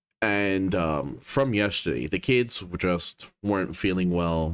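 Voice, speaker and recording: Set against a silent background on a very clean recording, a man speaks with a very deep, low pitch. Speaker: gaming streamer. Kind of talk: casual live stream talk. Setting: live stream.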